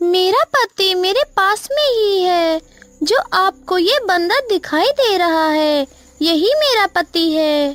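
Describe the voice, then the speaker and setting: A cartoonish character voice sounds female and extremely high-pitched. It moves at a fairly slow pace. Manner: earnest, resolute.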